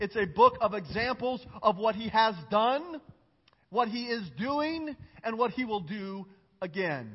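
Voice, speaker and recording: The speaker is a man with a high pitch. His tone is animated and his intonation lively. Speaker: pastor. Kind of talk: sermon. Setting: church service with congregation. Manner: fast.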